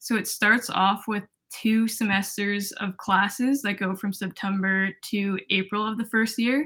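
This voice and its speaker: In a very clean recording with a silent background, a woman with a Canadian accent speaks at a medium pitch in a bright, sharp tone with fairly even intonation. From Ontario, Toronto. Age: 20s. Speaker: physiotherapy student. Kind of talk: casual interview.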